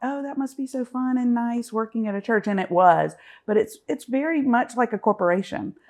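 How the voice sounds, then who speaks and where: A woman's lively intonation at a moderate pace against a quiet background. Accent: Southern US. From US South, Augusta, Georgia. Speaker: business association director. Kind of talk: podcast interview. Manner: hesitant, many fillers and repeats.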